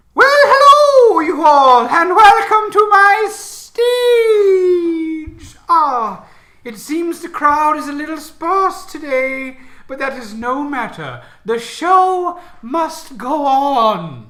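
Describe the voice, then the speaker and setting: A put-on character voice, high in pitch, draws its words out at a very slow pace. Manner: theatrical, welcoming.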